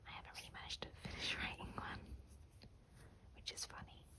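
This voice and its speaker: Someone is whispering in a relaxed tone. Background noise is noticeable. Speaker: ASMR creator. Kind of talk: whispered ASMR craft hang-out talking to camera. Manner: whispered, rambling, relaxed.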